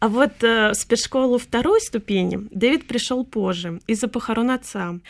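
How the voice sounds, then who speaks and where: At a moderate pace and a fairly high pitch, a woman speaks in a plain, everyday voice with ordinary pitch variation, in a very clean recording with a silent background. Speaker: university lecturer and translator. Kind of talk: radio interview.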